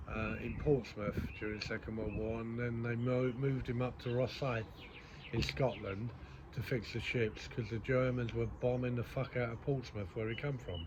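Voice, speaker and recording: A man speaks at a moderate pace with a mid-range pitch and fairly even intonation. Noticeable background noise and audible room echo surround his voice. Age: 60s. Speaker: podcaster. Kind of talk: casual monologue. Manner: hesitant, many ums.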